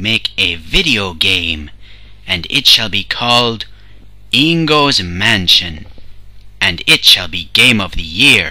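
A man speaks with a fairly low pitch and very wide pitch swings. Light background noise can be heard. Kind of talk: comic overacting. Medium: fan dub. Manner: grandiose, speaks of himself in third person.

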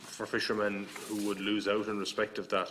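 This man has a fairly low pitch and an Irish accent. Light background noise sits behind him. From Ireland. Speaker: politician. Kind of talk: committee questioning. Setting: parliamentary committee room. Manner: halting, repetitive. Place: meeting room. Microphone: podium.

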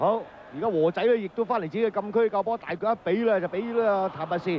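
Over noticeable background noise, a man speaks very fast in an animated tone, his high pitch showing ordinary pitch variation. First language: Cantonese (speaking Vietnamese). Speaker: football commentator. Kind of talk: live commentary.

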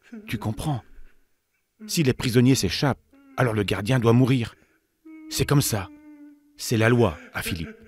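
In a very clean recording with a silent background, a man with a medium pitch and ordinary pitch variation speaks at a fairly slow pace in a dramatic, somewhat breathy tone, leaving long, frequent pauses. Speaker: narrator of children's Bible story. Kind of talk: dramatic storytelling narration for children, Bible story read aloud; scripted narration. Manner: hushed, suspenseful, urging the listener to 'listen' with dramatic pauses.

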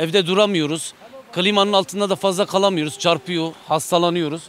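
A man speaks at a high pitch. The sound is dry with no echo, over light background noise. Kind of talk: interview answer. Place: waterside. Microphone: handheld.

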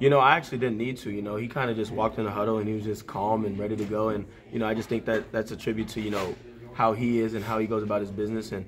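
A man speaks very fast at a fairly low pitch, his intonation flat and monotone. There is light background noise. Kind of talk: interview answer. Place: meeting room. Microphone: handheld.

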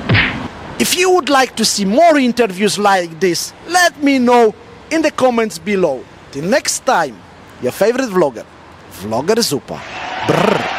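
Speaking at a moderate pace with long, frequent pauses, a man uses a high voice that swings very widely in pitch, recorded dry with no echo over light background noise. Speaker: vlogger. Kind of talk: street interview. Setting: outdoors. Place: street. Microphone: handheld.

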